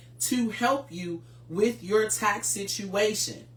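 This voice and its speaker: A woman speaks very slowly at a medium pitch, with audible room echo and noticeable background noise. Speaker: tax preparer hosting a finance show. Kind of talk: educational livestream talk.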